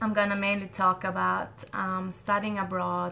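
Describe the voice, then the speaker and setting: A woman talks at a fairly slow pace, and music can be heard in the background. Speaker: scientist hosting a Q&A. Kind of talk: live Q&A session. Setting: live online stream.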